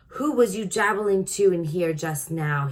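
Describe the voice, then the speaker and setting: Loud, booming put-on character voice from a woman, medium in pitch, at a moderate pace. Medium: read story. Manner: loud, blustering, ungrammatical giant-speak.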